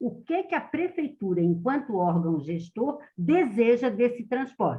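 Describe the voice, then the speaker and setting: A woman's fairly high, somewhat breathy voice at a fairly slow pace, with very wide pitch swings. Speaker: public transport specialist. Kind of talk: meeting presentation.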